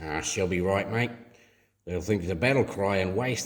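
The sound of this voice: An unforced reading voice, showing ordinary pitch variation, is heard against a quiet background.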